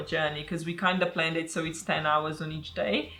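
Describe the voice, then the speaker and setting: Music plays in the background as a woman talks at a fairly quick pace. Her fairly low voice keeps a fairly even intonation. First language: not English. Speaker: puzzle youtuber. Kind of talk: casual chat.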